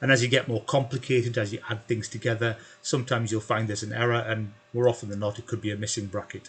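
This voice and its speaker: A man at a very fast pace, somewhat breathy, with a medium pitch and fairly even intonation. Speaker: spreadsheet tutor. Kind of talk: tutorial. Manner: hesitant with fillers.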